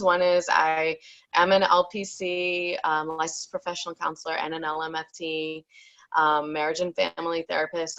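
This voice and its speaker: A woman with a New York accent speaks at a moderate pace in a fairly low voice. Her tone is bright and sharp, her intonation flat and monotone. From New York, Long Island. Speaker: therapist. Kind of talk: online summit talk. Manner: loud.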